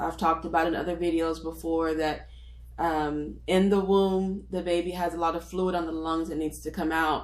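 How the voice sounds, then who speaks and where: At a moderate pace, a woman with a fairly low pitch speaks in fairly even intonation, with audible room echo around her. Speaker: nurse. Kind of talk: tutorial. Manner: casual, with frequent fillers.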